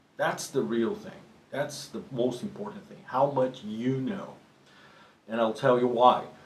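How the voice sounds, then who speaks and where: A man speaks at a fairly slow pace with a medium pitch, lively intonation, big swings in loudness and long, frequent pauses, over noticeable background noise and audible room echo. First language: Portuguese. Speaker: professional drummer and drum teacher. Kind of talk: tutorial. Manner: halting, with frequent restarts.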